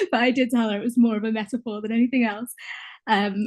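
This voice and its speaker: A woman with a British accent against a quiet background. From UK. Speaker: contributing poet. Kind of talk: author talk about own poem. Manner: halting, many fillers.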